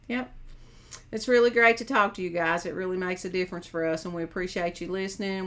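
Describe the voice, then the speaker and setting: Talking at a very fast pace, a woman with an American accent keeps her intonation fairly even. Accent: hillbilly. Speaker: mental health counselor and caregiver. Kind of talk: casual chat.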